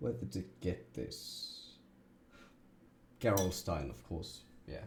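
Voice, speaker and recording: A man speaks very slowly in a very deep, low voice with vocal fry. His pitch swings very widely. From Germany. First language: German. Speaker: streamer. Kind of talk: casual chat while gaming. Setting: live stream. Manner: animated.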